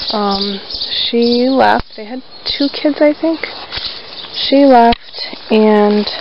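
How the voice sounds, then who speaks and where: Long, frequent pauses amid noticeable background noise. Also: dry sound with no echo. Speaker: narrator touring property. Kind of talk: casual vlog chat. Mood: wistful, a bit sad. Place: farm machine. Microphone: phone near.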